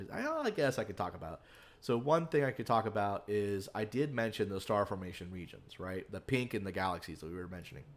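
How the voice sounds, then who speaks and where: A man's very fast, fairly low-pitched voice with lively intonation and big swings in loudness. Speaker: planetarium show host. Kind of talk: live stream Q&A science talk. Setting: live online stream. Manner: halting, many fillers.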